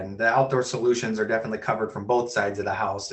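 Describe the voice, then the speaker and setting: With a Minnesotan accent, a man speaks using fairly even intonation. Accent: Minnesota. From US Midwest, Minnesota. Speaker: webinar host, sales and marketing. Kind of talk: webinar Q&A moderation.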